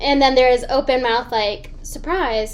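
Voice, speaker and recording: Recorded with audible room echo, a woman speaks at a high pitch. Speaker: voice actress. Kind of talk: casual chat. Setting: remote call from her apartment.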